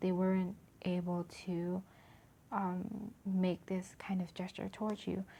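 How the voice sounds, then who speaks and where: A woman whispers quietly and somewhat breathily. Her pace is very slow. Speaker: tarot reader. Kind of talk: tarot reading to camera. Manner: almost whispering, quiet.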